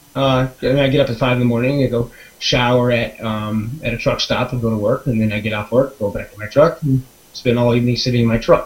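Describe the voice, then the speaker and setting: Fairly quick, monotone speech from a man at medium pitch, with noticeable background noise. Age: 40s. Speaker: webinar participant telling his story. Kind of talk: personal testimony. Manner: halting, many fillers and restarts.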